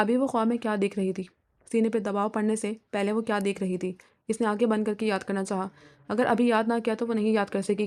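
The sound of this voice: The clip has an unforced reading voice with fairly even intonation. The background is quiet.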